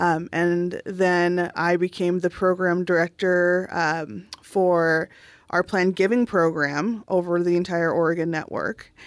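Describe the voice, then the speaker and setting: In an American accent, a normal speaking voice moves at a fairly slow pace with fairly even intonation and very even loudness over a quiet background. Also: woman, fairly low pitch for a woman. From Southern California. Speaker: hospital foundation director. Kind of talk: interview.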